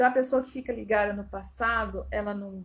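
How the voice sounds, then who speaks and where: In a medium pitch, a woman speaks with monotone, flat intonation. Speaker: family constellation therapist. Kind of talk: live stream talk. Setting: Instagram live.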